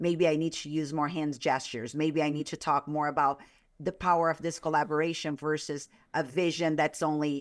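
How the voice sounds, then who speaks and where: Speaking fairly quickly in a Brazilian Portuguese accent, a woman uses a very deep, low pitch and monotone, flat intonation, captured in a very clean recording with a silent background. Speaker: author and sales consultant. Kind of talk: podcast interview.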